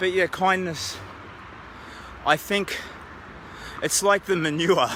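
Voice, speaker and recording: Someone with an Australian accent talks at a fairly slow pace over noticeable background noise. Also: man. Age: old. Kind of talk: casual talk to camera while walking outdoors. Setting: outdoors. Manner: halting, reflective.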